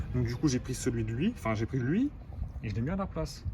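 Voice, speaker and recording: The man speaks at a medium pitch. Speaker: car repair YouTuber. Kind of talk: casual vlog tutorial. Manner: casual slangy. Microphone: poor sound quality.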